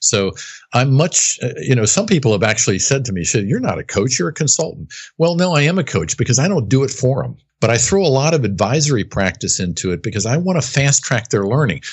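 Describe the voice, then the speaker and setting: With vocal fry and very wide pitch swings, a man rattles along at a very fast pace in a medium-pitched voice. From US East Coast, near Washington DC. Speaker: business coach. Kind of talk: interview.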